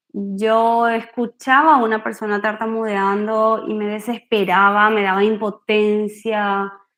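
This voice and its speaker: Her intonation monotone and flat, a woman with a fairly high pitch speaks at a fairly slow pace. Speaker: speech therapist giving a workshop. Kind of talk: online workshop talk. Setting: video call.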